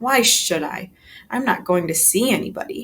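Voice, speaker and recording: A woman's gruff, growling put-on character voice, fairly high in pitch, with very wide pitch swings at a moderate pace. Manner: growling, gruff, grumpy.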